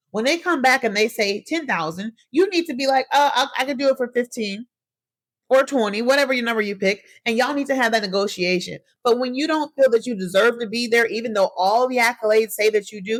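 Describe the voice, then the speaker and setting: With an animated tone and lively intonation, a woman speaks fairly quickly at a high pitch. The sound is dry and close, with no echo. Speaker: podcast host. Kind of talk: solo podcast monologue. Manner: animated, addresses listeners as y'all; fast.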